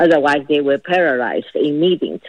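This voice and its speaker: A woman with a Chinese accent. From China. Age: 60s. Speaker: storyteller recounting family history. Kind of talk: personal testimony. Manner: halting, many fillers.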